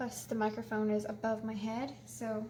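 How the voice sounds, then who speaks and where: A soft-spoken woman talks at a fairly slow pace, with noticeable background noise and audible room echo. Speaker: painting tutorial host. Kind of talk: tutorial.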